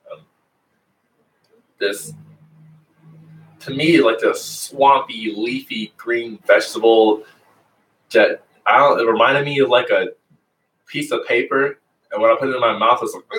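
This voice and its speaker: Long, frequent pauses and big swings in loudness. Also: man, moderate pace. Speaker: yoga instructor. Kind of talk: guided yoga class. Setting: livestream video class. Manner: soft-spoken.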